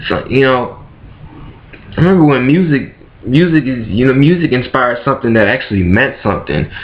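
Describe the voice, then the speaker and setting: A man's medium-pitched, animated voice with audible room echo. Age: 20s. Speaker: vlogger. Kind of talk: casual rant to camera.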